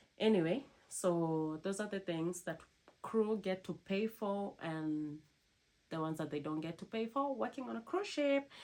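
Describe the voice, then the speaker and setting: The speaker has a non-native accent and moves at a moderate pace. The pitch swings very widely. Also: woman, medium pitch for a woman. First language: not English. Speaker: cruise ship crew member vlogger. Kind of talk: casual vlog talk to camera.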